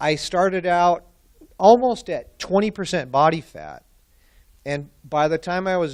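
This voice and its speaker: In a very clean recording with a silent background, a man uses an ordinary speaking voice at a fairly slow pace. His pitch is fairly high, with ordinary pitch variation. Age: 60s. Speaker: client giving a testimonial. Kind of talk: testimony.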